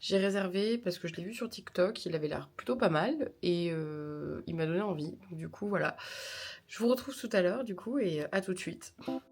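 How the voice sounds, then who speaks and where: Her medium-pitched voice has lively intonation as the woman speaks at a moderate pace. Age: 20s. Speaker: vlogger and streamer. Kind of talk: travel vlog talking to camera. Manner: casual, hesitant with many fillers.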